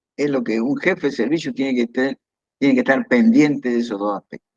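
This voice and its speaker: A man speaks with an Argentine accent and very wide pitch swings. The sound is dry and close, with no echo. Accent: Argentine Spanish (voseo). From Argentina, Entre Ríos. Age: 70s. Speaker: retired pediatric surgeon. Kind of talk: interview. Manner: hesitant, with repetitions.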